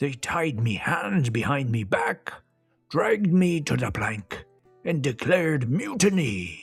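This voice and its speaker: Faint music plays in the background. Over it, a man puts on a character voice at a fairly high pitch. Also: fairly slow pace. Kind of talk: children's story narration. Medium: read story. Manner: boastful, theatrical.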